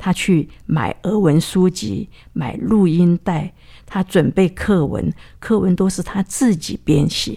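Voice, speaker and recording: A woman's fairly low voice with vocal fry and a dark, mellow tone, at a very slow pace with ordinary pitch variation. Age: 80s+. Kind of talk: testimony.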